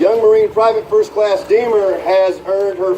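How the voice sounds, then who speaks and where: A man with an American accent talks at a moderate pace. There is audible room echo and noticeable background noise. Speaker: youth program leader. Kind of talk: award ceremony speech. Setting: stage with audience, PA system. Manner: loud.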